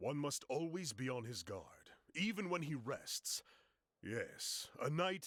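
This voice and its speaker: A man puts on a character voice, fairly high in pitch and delivered at a fairly slow pace. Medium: video game. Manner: formal, measured.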